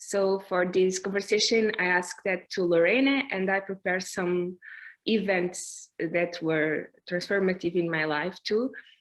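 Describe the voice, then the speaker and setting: With a non-native accent, a woman of medium pitch speaks at a fairly slow pace in a fairly even intonation against a quiet background. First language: Portuguese. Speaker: performance artist. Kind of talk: artist conversation. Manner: halting.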